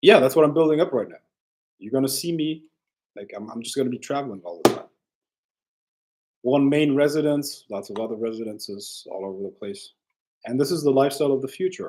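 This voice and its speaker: Delivered at a very fast pace with lively intonation, the speech has big swings in loudness and long, frequent pauses. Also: man, fairly high pitch for a man. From Germany. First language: German. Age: 20s. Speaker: livestreamer. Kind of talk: casual livestream talk. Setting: livestream. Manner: animated.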